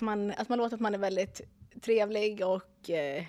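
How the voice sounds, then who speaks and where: A plain, everyday voice from a woman, fairly high in pitch and moderate in pace, on a very clean recording with a silent background. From Dalarna, Sweden. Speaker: real estate agent. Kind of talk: casual chat.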